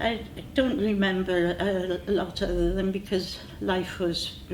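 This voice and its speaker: Speaking in a South Wales accent with fairly even intonation, a woman is heard over audible room echo. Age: 80s+. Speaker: war-time witness. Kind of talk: oral history interview. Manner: halting, many fillers.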